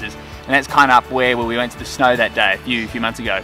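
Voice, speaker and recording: Very fast male speech over clear background music. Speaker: dog vlogger. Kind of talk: casual vlog chat. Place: forest.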